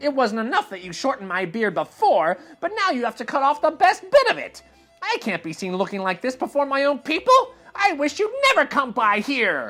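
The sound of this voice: A man's put-on character voice, extremely high-pitched, shrill, bright and sharp, with very wide pitch swings, a moderate pace, few pauses and faint background music.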